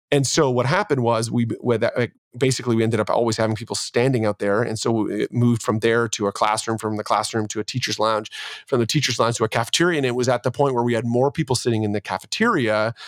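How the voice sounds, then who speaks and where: A man with a Canadian accent talks at a very fast pace and a medium pitch, with fairly even intonation. The sound is dry and close, with no echo. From Canada, Ontario. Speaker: church leader and podcast host. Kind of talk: casual interview chat.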